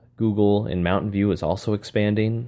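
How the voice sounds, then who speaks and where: With an American accent, a man speaks at a fairly quick pace in a fairly low pitch and a dark, mellow tone. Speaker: teacher and aspiring school administrator. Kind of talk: solo podcast monologue. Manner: casual, conversational, with hesitations.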